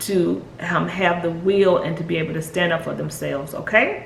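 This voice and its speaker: Amid audible room echo and noticeable background noise, a woman's speech unfolds at a fairly slow pace. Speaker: spiritual guide and numerologist. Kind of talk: video monologue. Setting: at home, puppy crate nearby. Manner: soft, hushed.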